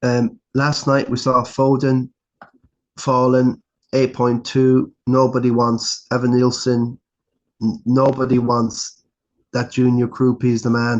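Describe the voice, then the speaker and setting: A man speaks very slowly in an Irish accent with monotone, flat intonation. His loudness stays very even throughout. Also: medium pitch for a man. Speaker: fantasy football podcaster. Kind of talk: casual solo review. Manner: casual, halting.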